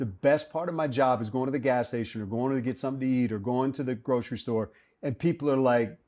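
This man talks at a very fast pace in a dark, mellow tone, his pitch varying in an ordinary way. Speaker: radio play-by-play announcer for a football team. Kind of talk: interview answer. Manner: earnest, reflective. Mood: earnest, passionate. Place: cafe.

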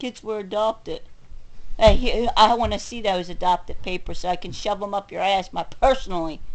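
Pausing often and at length, a woman speaks at a moderate pace with big swings in loudness. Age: 40s. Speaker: video blogger. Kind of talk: angry rant. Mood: angry, bitter. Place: home room. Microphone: webcam.

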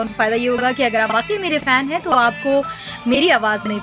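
Over clear background music, a woman speaks with lively intonation. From Pakistan. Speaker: radio presenter, voice-over artist. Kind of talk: channel endorsement talk to camera. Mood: friendly, smiling. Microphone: phone near.

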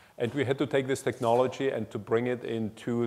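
Fairly quick and in a dark, mellow tone, the voice holds a monotone, flat intonation. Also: man. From Germany (born in Czech Republic). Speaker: engineering executive; speaker. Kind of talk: lecture. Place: hall. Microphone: lapel.

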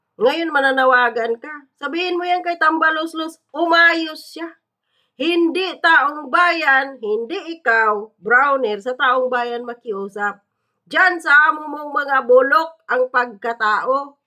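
A woman's raised, projected voice, high in pitch with ordinary pitch variation, bright and sharp in tone, very slow in pace, with big swings in loudness. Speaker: political commentator vlogger. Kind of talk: angry political rant, scornful and cursing. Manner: loud, heated, sarcastic, mocking with laughs; animated, accusatory, rhetorical questions.

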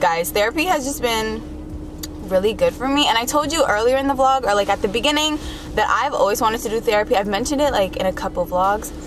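A woman speaks at a fairly quick pace with a fairly high pitch and ordinary pitch variation. Background noise is clearly audible.

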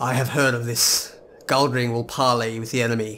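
A man's put-on character voice, medium in pitch and monotone and flat, at a moderate pace over clear background noise. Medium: game stream.

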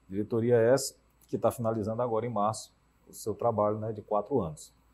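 A man's dark, mellow tone. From Teresina, Piauí, Brazil; Piauí, Brazil. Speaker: cardiologist and health insurer executive; interview guest. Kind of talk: TV debate interview. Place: studio. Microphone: lapel.

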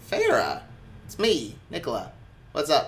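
Using a put-on character voice, a man speaks at an extremely high pitch. His pace is fairly slow. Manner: casual, friendly.

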